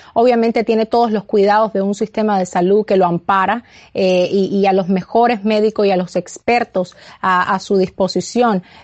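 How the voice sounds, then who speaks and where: A woman at medium pitch with monotone, flat intonation, very even loudness and a moderate pace. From Cuba. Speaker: political campaign media director. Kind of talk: interview. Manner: halting.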